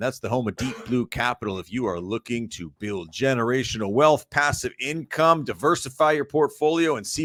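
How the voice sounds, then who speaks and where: With a plain, everyday voice at medium pitch, a man talks at a fairly quick pace with lively intonation in a dry, close sound with no echo. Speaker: podcast host reading sponsor intro.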